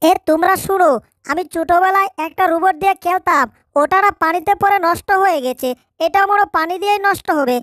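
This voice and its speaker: A woman puts on a character voice, pitched extremely high and delivered at a moderate pace. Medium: fan dub.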